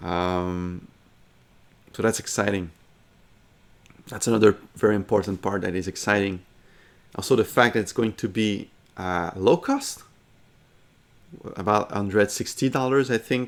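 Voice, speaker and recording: At a moderate pace with long, frequent pauses, a man with a French accent speaks at a fairly low pitch with ordinary pitch variation. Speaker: gaming commentator. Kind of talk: casual commentary. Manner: halting, with many fillers and restarts.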